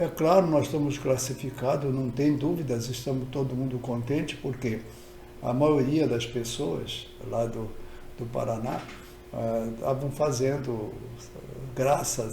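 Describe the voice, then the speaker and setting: Delivered at a fairly slow pace with fairly even intonation, the speech carries noticeable background noise and audible room echo. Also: man. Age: 80s+. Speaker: football fan vlogger. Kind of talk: casual monologue. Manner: halting.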